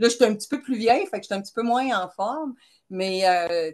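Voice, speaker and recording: A woman with a Quebec accent and ordinary pitch variation, against a quiet background. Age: 60s. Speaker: retired chemist, person with type 1 diabetes. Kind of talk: interview. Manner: hesitant, many fillers.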